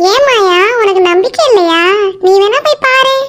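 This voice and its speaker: A female-sounding cartoonish character voice squeaks at an extremely high pitch. It moves at a moderate pace. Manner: playful, bantering.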